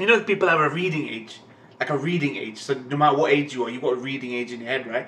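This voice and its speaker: Lively intonation from a male speaker. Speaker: anime reaction channel host. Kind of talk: casual vlog chat, ranting. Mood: annoyed, ranting about a comment. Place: home room.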